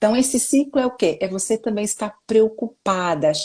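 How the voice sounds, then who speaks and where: A woman speaks at a moderate pace in a somewhat breathy voice. Her pitch variation is ordinary. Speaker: self-help speaker. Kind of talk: interview. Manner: animated.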